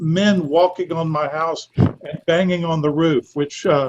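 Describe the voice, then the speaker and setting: In a Southern US accent, a man with a fairly high pitch speaks at a fairly slow pace. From US South, Georgia (Rome). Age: 60s. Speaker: theatre director. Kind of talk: interview, personal life story.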